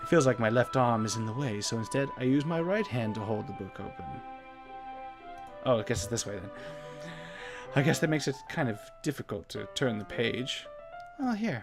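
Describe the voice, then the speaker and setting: Over music in the background, a soft-spoken voice moves at a fairly quick pace, broken by long, frequent pauses. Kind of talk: let's play commentary.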